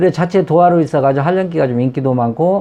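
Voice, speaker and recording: The intonation is lively. A man delivers his words at a very fast pace. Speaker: saju fortune-telling teacher. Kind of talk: lecture.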